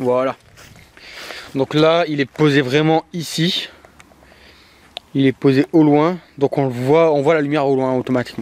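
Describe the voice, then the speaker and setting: Over noticeable background noise, a man with a fairly high pitch speaks at a fairly slow pace with fairly even intonation and long, frequent pauses, the sound dry and close with no echo. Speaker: paranormal investigator YouTuber. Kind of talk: on-location ghost hunt commentary. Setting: outdoors in a cemetery at night.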